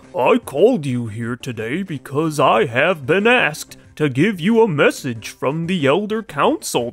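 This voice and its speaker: Over music in the background, a man does a put-on character voice at a fairly high pitch, moving at a moderate pace with hardly any pauses. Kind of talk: reading game dialogue aloud in character. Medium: game stream. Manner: earnest, solemn. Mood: formal.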